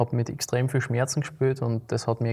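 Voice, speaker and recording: His tone is dark and mellow, a little breathy, at a medium pitch for a man. The man talks at a moderate pace. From Austria, Graz (Liebenau). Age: 20s. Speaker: amateur football goalkeeper. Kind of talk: casual interview. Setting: city council chamber.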